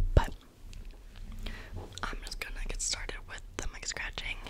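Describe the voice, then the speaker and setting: A woman speaks over loud background noise. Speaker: ASMR creator. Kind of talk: soft casual vlog chat. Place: home room. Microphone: studio mic.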